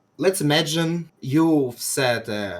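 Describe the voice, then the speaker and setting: A man speaks with a Russian accent. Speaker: game player debating on stream. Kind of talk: debate. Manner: halting.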